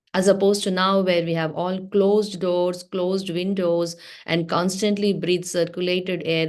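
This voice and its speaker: Speaking with a Telugu accent, a woman uses a fairly low pitch at a moderate pace. The background is quiet. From South India (Telugu-speaking). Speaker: religious teacher. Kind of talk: class for teens.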